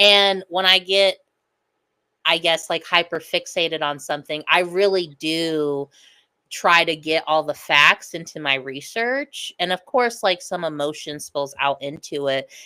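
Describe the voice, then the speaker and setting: A loud woman with an American accent, fairly low in pitch, with ordinary pitch variation, a fairly slow pace, and a dry, close sound with no echo. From US Midwest (Lincoln County, Missouri). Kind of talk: casual chat.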